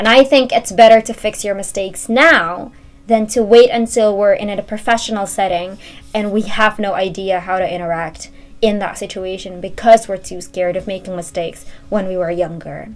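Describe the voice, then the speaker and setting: A woman with an Indonesian accent, ordinary pitch variation and big swings in loudness. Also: medium pitch for a woman, moderate pace. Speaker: university student vlogger. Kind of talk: casual talk to camera.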